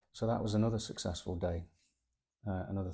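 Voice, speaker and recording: A relaxed, dark, mellow tone, somewhat breathy, with fairly even intonation at a fairly quick pace, in a very clean recording with a silent background. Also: man. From East Midlands, England (Sutton in Ashfield). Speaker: artist sketching on location. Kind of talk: casual vlog walkthrough of sketchbook. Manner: relaxed, hesitant with fillers and repeats.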